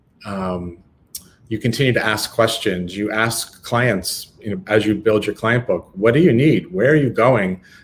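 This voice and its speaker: The speaker is a man. There is a somewhat breathy quality to his voice. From Northern California, Lake Tahoe. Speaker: retail expert and author. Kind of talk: webinar Q&A.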